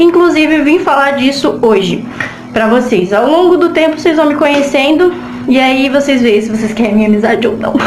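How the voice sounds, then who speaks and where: Music plays in the background, and audible room echo surrounds the voice. The intonation is lively. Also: woman. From Brazil, Northeast. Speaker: vlogger. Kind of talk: personal testimony vlog. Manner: fast; casual, halting repetitions.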